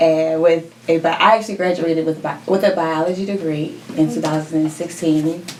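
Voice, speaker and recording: A woman with an American accent speaks at a fairly low pitch and moderate pace, in a monotone, flat intonation with hardly any pauses, amid audible room echo and noticeable background noise. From West Philadelphia, US; New Jersey from age 13. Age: 20s. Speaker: fashion entrepreneur, shoe designer. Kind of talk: podcast interview.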